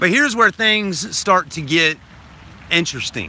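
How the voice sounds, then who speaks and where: Loud and high-pitched, a man speaks at a fairly slow pace over noticeable background noise. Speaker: vlogger. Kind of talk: livestream chat. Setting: livestream. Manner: loud, projecting; animated.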